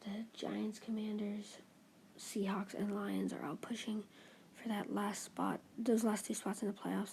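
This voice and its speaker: Quiet, mumbled speech at a fairly slow pace. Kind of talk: casual talk to camera, sports commentary while gaming. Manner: mumbling; quiet, hushed.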